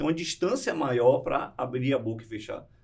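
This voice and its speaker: Lively intonation marks this man's somewhat breathy voice. He keeps up a fairly quick pace. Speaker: public speaking coach. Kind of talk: podcast interview.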